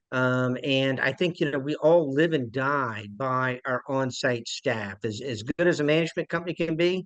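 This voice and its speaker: A man with a Charleston accent talks at medium pitch with ordinary pitch variation. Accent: Charleston South Carolina. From South Carolina, Charleston. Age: 50s. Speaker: property management executive. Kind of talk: investor webinar presentation.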